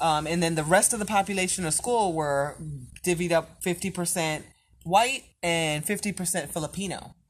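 A woman with an American accent, fairly low in pitch, at a fairly slow pace with ordinary pitch variation. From New York, the Bronx. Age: 40s. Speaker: guest, host's mother. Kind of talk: casual chat.

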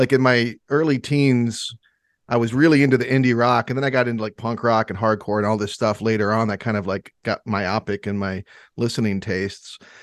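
This man has an unremarkable speaking voice, medium in pitch, with an American accent and a fairly quick pace. The sound is dry and close with no echo, over a quiet background. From Michigan. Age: 40s. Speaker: podcast host. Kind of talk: casual chat.

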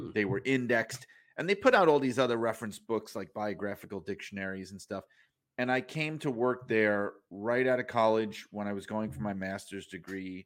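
An unremarkable speaking voice from a man with an American accent, fairly low in pitch, at a moderate pace with ordinary pitch variation, on a very clean recording with a silent background. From New York (Brooklyn). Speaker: author and wrestling journalist. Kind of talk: casual interview.

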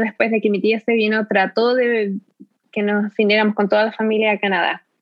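In an unremarkable speaking voice, a woman talks at a fairly high pitch. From Chile, Concepción area (south-central). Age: 30s. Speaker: immigrant interviewee. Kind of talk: interview conversation.

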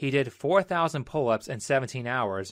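Over a quiet background, a man with an unremarkable speaking voice uses lively intonation. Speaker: video essayist. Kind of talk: opinionated commentary. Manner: argumentative, sarcastic.

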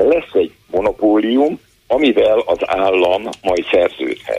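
A man is speaking. His pace is fairly slow. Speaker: healthcare policy expert. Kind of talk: phone-in interview.

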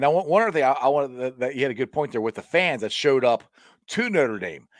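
On a very clean recording with a silent background, a man talks at a very fast pace in an American accent with very wide pitch swings. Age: 40s. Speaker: sports podcaster. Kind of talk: casual chat.

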